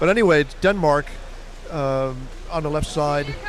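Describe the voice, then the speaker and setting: There is noticeable background noise. A man is speaking. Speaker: sports commentator. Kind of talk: live commentary. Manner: fast; animated.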